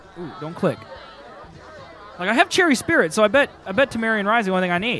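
A man's high-pitched, bright, sharp voice at a fast pace, with big pitch swings, faint background noise and faint crowd noise in the background

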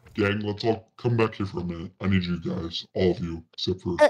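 A man with a very deep, low pitch talks at a fairly quick pace. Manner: protective, cautious, coaxing.

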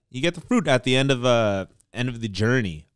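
Against a quiet background, someone with an American accent talks at a moderate pace with ordinary pitch variation, the sound dry with no echo. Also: man. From Oakland, California; California. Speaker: podcast co-host, realtor; podcast co-host. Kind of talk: casual chat. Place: studio. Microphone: studio mic.

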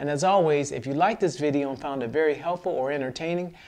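Over light background noise, a man speaks. His pace is very fast. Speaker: fishing channel host. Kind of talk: tutorial. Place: home room.

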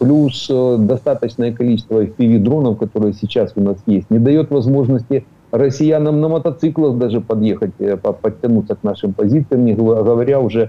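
With ordinary pitch variation and a moderate pace, this is a normal speaking voice. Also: man. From Ukraine. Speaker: military expert, retired colonel. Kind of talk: news interview analysis.

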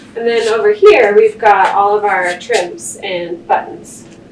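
A woman at a fairly slow pace with ordinary pitch variation, amid light background noise and audible room echo. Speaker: costume shop staff guide. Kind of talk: guided tour explanation. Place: shop. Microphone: camera far.

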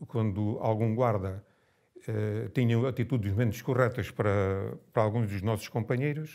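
A man speaks at a fairly slow pace in a dark, mellow tone. His intonation is fairly even, and the background is quiet. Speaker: former political prisoner. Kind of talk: testimony. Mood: grave, reflective recollection. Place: home room.

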